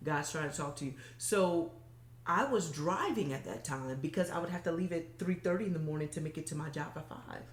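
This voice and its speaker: Her pitch very deep and low, a woman speaks with ordinary pitch variation over noticeable background noise. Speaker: motivational speaker. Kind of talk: interview. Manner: stumbles over words.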